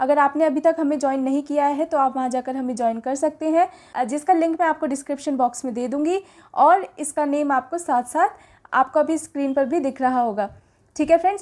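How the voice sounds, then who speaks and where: A woman speaks in a high voice at a moderate pace. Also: ordinary pitch variation. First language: English-medium educated, weak Hindi (speaking Hindi). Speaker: teacher, exam prep channel host. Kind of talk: lecture, exam question tutorial. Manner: hesitant fillers, frequent 'ठीक है फ्रेंड्स'.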